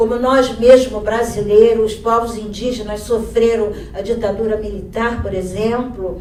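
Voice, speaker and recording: A woman's fairly high voice at a fairly slow pace, with noticeable background noise and audible room echo. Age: 60s. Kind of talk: panel talk. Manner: halting.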